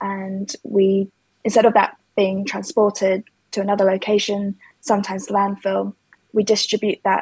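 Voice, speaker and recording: In a London accent, a woman speaks at a moderate pace with a dark, mellow tone and monotone, flat intonation. The sound is dry and close, without echo. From London, England. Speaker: ceramic designer and materials researcher. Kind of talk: interview.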